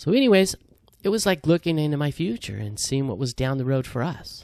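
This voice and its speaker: Speaking at a fairly quick pace, a man uses an ordinary speaking voice that sits fairly high, with lively intonation. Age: 60s. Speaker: hiking vlogger. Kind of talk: casual vlog monologue. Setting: outdoors on a hiking trail. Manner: casual, many fillers.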